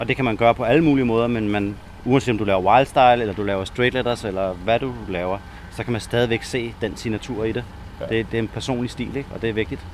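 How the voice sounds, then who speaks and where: A man's medium-pitched voice at a very fast pace, fairly even in intonation, over noticeable background noise. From Denmark, Næstved. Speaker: graffiti writer. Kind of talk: casual interview.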